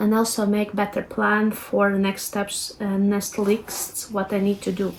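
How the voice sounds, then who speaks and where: A woman with a Latvian accent speaks at a fairly slow pace. Her voice sits fairly high. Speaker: lifestyle vlogger. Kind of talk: tutorial. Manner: casual, hesitant with fillers.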